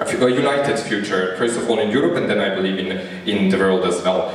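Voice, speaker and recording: Strong room echo surrounds a man speaking fairly quickly at a fairly low pitch. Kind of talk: opening speech. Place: stage.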